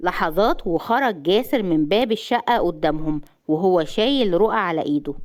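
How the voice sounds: Lively intonation in a natural reading voice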